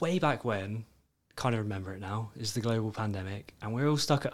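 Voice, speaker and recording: On a very clean recording with a silent background, a man with a British accent speaks fairly quickly at a fairly low pitch. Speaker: financial advisor, podcast co-host. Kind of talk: casual chat. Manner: joking, banter.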